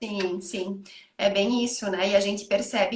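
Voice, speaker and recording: A somewhat breathy woman's voice in a southern Brazilian accent, at a moderate pace with fairly even intonation. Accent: gaúcho (southern Brazilian). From Rio Grande do Sul, Brazil. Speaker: psychologist. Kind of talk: online panel conversation. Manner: hesitant, many fillers.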